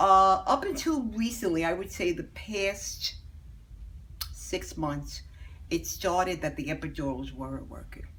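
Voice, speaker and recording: The woman talks fairly slowly, and her voice echoes audibly around the room. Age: 70s. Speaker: patient. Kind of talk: testimony.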